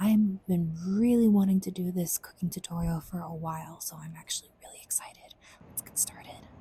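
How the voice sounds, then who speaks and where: A soft-spoken woman talks at a fairly quick pace in a fairly low voice. Her intonation is fairly even, yet her loudness swings widely. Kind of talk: ASMR cooking tutorial. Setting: home kitchen.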